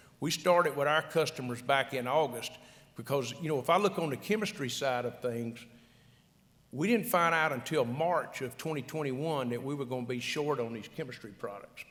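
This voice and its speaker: A Louisiana accent at a moderate pace, ordinary in pitch variation, with audible room echo. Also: man. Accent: Louisiana Southern. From South Louisiana. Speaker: agricultural retail executive, conference panelist. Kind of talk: conference panel discussion. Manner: repetitive, halting restarts.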